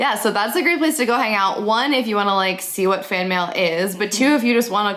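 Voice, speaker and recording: A woman's voice, an ordinary speaking voice, sits at a medium pitch with ordinary pitch variation. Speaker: podcast host. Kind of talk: casual podcast interview.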